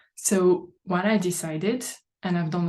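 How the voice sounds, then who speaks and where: A woman with a French accent speaks at a fairly slow pace and medium pitch, her intonation fairly even and her voice somewhat breathy. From France. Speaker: life coach. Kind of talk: live online training talk. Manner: halting.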